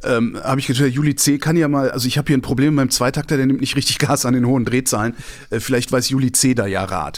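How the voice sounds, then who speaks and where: A man's medium-pitched voice at a very fast pace, with very even loudness. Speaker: podcast guest. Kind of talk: casual chat. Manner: animated ranting.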